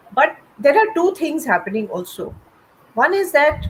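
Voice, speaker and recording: With noticeable background noise behind her, a woman talks fairly slowly as her pitch swings very widely. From India. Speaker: writer. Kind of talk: panel conversation. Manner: halting.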